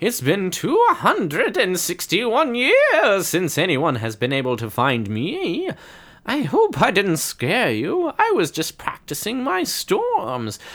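A man speaks at a very slow pace in a put-on character voice with a high pitch. He cackles as he goes. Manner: cackling.

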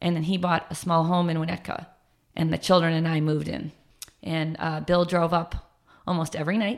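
Delivered at a fairly quick pace, the speech has an American accent and monotone, flat intonation. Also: woman, fairly low pitch for a woman. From US Midwest, northern suburbs of Chicago. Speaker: fitness instructor. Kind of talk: podcast interview, personal life story.

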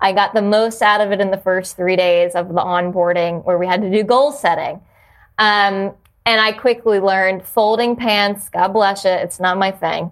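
Recorded very cleanly with a silent background, a woman speaks at a medium pitch with an American accent. It is an ordinary speaking voice with fairly even intonation and a moderate pace. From New Jersey (South Jersey). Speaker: yoga studio owner. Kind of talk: casual chat.

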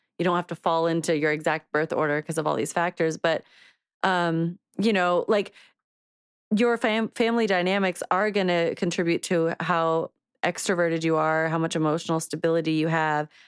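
A normal speaking voice with very even loudness and fairly even intonation moves at a moderate pace. The recording is very clean with a silent background and a dry, close sound with no echo. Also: woman, fairly low pitch for a woman. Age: 30s. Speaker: podcast co-host. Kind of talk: reading aloud; casual chat.

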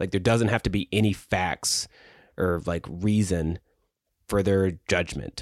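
Speaking with an American accent, a man has a very deep, low voice and fairly even intonation. The sound is dry and close with no echo, over a quiet background. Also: fairly slow pace. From US South. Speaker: podcast host and writer. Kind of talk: casual conversational podcast chat. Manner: casual, filler words, hesitant.

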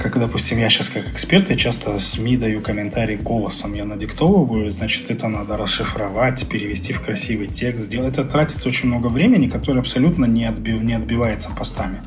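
A man talks at a very fast pace with hardly any pauses. Noticeable background noise runs underneath. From Crimea. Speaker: finance Telegram channel creator, former journalist. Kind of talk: casual interview conversation.

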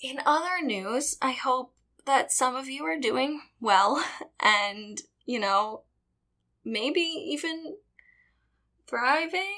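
Raised and projected, a woman's high, bright, sharp voice moves at a very slow pace with very wide pitch swings and long, frequent pauses. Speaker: podcast host. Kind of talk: scripted podcast intro and outro.

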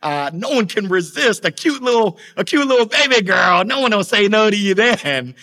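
A man's high, bright, sharp voice, raised and projected, with very wide pitch swings. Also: moderate pace. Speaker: sales trainer and motivational speaker. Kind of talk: interview. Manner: enthusiastic.

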